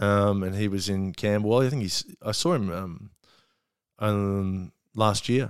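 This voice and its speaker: A man in an Australian accent, fairly low-pitched and fairly slow, with ordinary pitch variation. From Australia, Melbourne. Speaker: comedian. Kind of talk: casual chat. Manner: halting.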